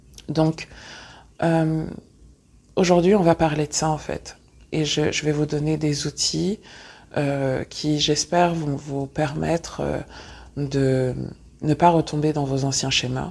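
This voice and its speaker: A woman's very deep, low voice in a monotone, flat intonation, at a very slow pace with long, frequent pauses. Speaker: spiritual teacher and podcast host. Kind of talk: podcast monologue on personal growth. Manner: many filler hesitations (euh).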